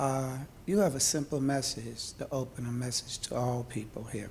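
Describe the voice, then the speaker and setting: His voice somewhat breathy, a man speaks with fairly even intonation. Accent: American. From New York City (Harlem). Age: 70s. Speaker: audience member. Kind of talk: audience question. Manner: halting. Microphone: held too far from mic.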